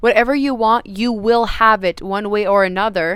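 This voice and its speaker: On a very clean recording with a silent background, a woman speaks at a moderate pace with a fairly high pitch and ordinary pitch variation. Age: 20s. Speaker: self-help coach. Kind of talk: motivational talk. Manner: animated.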